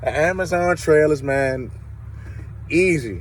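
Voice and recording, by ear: A man speaks at a slow pace with a fairly high pitch. His intonation is lively.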